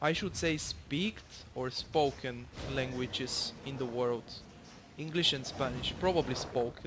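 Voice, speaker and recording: With a Bulgarian accent, a man of medium pitch talks at a fairly slow pace with ordinary pitch variation. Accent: non-native English, Bulgarian. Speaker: gamer commentating own gameplay. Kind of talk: gameplay tutorial commentary. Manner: halting, many fillers.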